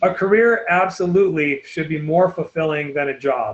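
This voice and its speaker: A man's fairly high pitch with ordinary pitch variation. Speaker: college admissions counselor. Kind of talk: webinar presentation. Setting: online webinar. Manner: fast.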